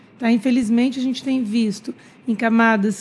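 Somewhat breathy and fairly high, a woman's voice stays flat and monotone. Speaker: infectologist. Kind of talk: radio interview. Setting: studio. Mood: calm, reflective. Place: studio. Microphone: studio mic.

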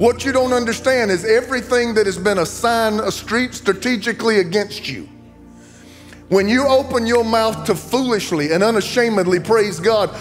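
Ordinary pitch variation over faint music in the background. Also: man. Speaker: preacher. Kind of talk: sermon. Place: church. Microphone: handheld.

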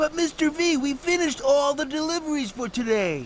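A cartoonish character voice speaks in a high pitch at a moderate pace. Background noise is clearly audible. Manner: urgent, cheerful.

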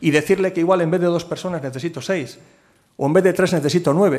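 Against a quiet background, the speech moves at a fairly quick pace with ordinary pitch variation. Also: man. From Cantabria, Spain. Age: 50s. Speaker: port authority president. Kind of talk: keynote talk and Q&A at business forum. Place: hall. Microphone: podium.

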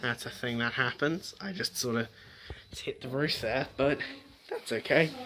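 There is noticeable background noise behind a voice with ordinary pitch variation. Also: man. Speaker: vlogger. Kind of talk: casual vlog chat. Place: home room. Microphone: phone near.

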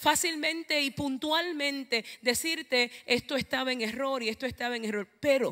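Over a quiet background, a woman uses a raised, projected voice with a bright, sharp tone at a fairly slow pace. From Puerto Rico, eastern coast (Ceiba); Puerto Rico. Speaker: preacher. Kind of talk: sermon. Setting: church. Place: church. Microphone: handheld.

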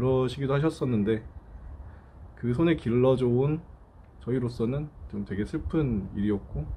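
With light background noise, a somewhat breathy man speaks with very wide pitch swings. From Gwangju, South Korea. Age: 30s. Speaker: great-grandson remembering his late great-grandmother. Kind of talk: interview answer. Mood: warm, reflective, slightly sad. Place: street.

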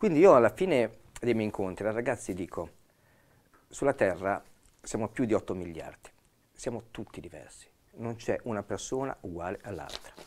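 Speaking at a moderate pace, a man uses lively intonation and big swings in loudness, with long, frequent pauses. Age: 60s. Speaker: police officer. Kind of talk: expert explanation on TV panel. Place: studio. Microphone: lapel.

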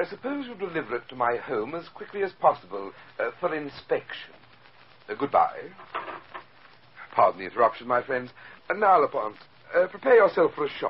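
The pace is fairly quick as a man speaks. Light background noise sits behind him. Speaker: radio drama actor playing a scheming art collector. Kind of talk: radio drama dialogue. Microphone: old recording.

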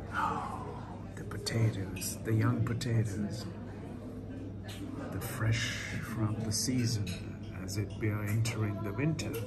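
The speech moves at a very slow pace, with music playing in the background. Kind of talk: casual vlog commentary. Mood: delighted, admiring. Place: cafe. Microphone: phone near.

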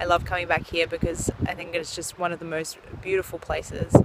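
With noticeable background noise and a dry sound with no echo, a woman with a fairly low pitch speaks at a very fast pace. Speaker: vlogger. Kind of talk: casual vlog chat. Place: waterside. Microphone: phone near.

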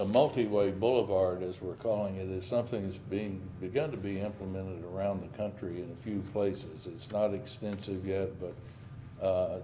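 Against light background noise, a man with an unremarkable speaking voice talks at a fairly low pitch with fairly even intonation and hardly any pauses. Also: moderate pace. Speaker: presenter. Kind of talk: presentation to council. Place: meeting room.

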